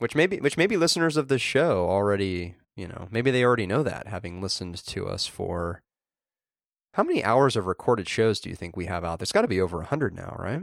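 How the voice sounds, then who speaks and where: Talking at a very fast pace, a man's voice makes very wide pitch swings and big swings in loudness. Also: medium pitch for a man, very clean recording, silent background. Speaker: podcast co-host. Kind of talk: casual chat about tech news.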